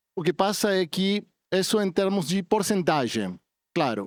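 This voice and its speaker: A man with a non-native accent speaks at a high pitch with lively intonation. The recording is very clean with a silent background and a dry, close sound with no echo. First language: not Portuguese (speaking Portuguese). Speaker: telecom industry representative. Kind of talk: panel discussion. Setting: conference stage with audience. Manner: halting.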